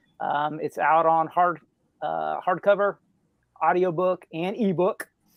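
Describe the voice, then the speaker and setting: This man's voice sits high. He speaks at a fairly slow pace. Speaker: author. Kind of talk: casual chat.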